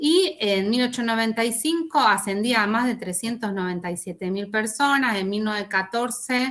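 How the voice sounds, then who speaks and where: A woman talks at a moderate pace in a fairly high voice. Her intonation is lively. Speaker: university lecturer. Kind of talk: online lecture. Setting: video call with screen sharing. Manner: halting, many fillers.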